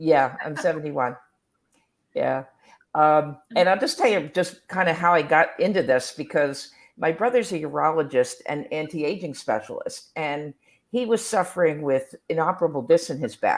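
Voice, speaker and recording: A woman with a very deep, low voice speaks with lively intonation at a moderate pace. The recording is very clean, with a silent background. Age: 70s. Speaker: equestrian and health coach. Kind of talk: testimony. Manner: halting.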